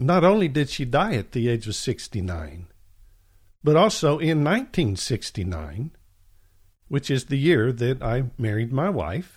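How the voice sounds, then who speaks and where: A man's somewhat breathy voice moves through very wide pitch swings at a fairly slow pace. The recording is very clean, with a silent background. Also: medium pitch for a man. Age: 60s. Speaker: podcast Bible teacher. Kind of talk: religious teaching monologue.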